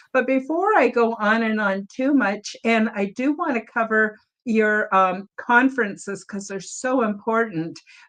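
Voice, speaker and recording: A woman's plain, everyday voice, fairly high in pitch with ordinary variation, at a fairly slow pace with hardly any pauses. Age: 60s. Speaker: podcast host. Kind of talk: podcast interview. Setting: livestream.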